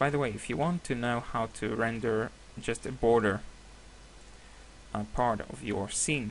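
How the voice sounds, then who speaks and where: The speaker talks at a fairly slow pace with vocal fry, ordinary pitch variation and long, frequent pauses. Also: man, medium pitch for a man. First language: Hebrew. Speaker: software tutorial creator. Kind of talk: tutorial. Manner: halting, many fillers.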